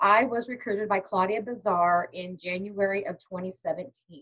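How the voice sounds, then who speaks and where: This woman's voice is somewhat breathy. Her pitch variation is ordinary. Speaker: direct sales team leader. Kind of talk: training webinar. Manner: fast.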